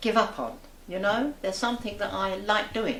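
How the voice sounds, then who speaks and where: A woman speaks at a fairly slow pace and fairly high pitch. There is audible room echo. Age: 80s+. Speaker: local resident, amateur writer and poet. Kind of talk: interview.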